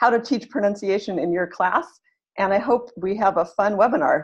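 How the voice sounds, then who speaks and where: A woman with a General American accent, a normal speaking voice, medium pitch, ordinary pitch variation and a fairly quick pace. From California, US. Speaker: English teacher. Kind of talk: lecture. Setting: video call.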